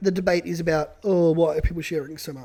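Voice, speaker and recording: A strained, put-on character voice talks at a very fast pace with big swings in loudness. The intonation stays fairly even. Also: man, high pitch for a man. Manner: put-on voice.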